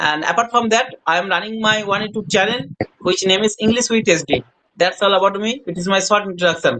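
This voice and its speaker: A man's raised, projected voice, high in pitch, at a fairly quick pace with ordinary pitch variation. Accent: Bengali. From India, West Bengal. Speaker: hospital attendant, English learner. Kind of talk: casual chat.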